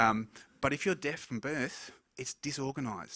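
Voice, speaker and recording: A man mumbles in a bright, sharp tone with ordinary pitch variation. The recording is very clean, with a silent background. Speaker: hearing scientist. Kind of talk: conference talk. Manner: mumbles a little.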